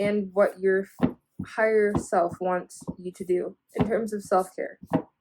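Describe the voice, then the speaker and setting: A woman talks at a fairly slow pace in a medium pitch, her intonation monotone and flat. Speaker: tarot reader. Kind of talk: tarot reading. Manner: enunciating carefully; casual, filler-heavy.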